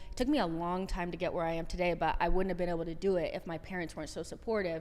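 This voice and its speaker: Someone talks very fast in a Californian accent, with audible room echo. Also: woman, fairly low pitch for a woman. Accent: Californian American English. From Southern California. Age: 30s. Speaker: soccer content creator. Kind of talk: podcast interview.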